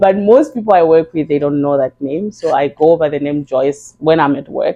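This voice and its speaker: With a Zimbabwean accent, a woman speaks at a moderate pace in a very deep, low pitch with ordinary pitch variation. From Zimbabwe (Gweru). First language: Shona. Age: 30s. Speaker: beautician. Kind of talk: podcast interview.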